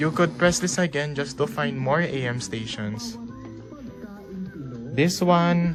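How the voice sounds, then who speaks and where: A man speaks with ordinary pitch variation while music plays in the background. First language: not English. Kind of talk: casual tutorial talk to camera. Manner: hesitant, informal.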